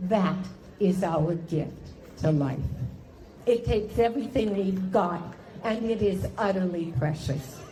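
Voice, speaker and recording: A woman speaks at a very slow pace with lively intonation. There is audible room echo and crowd noise in the background. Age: 70s. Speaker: cancer patient speaker. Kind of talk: speech. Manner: formal.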